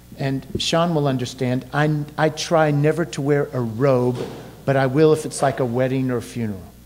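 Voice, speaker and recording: There's audible room echo around a man speaking at a moderate pace. His pitch is fairly high and his intonation fairly even. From Kentucky. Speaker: pastor. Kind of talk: sermon. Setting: church.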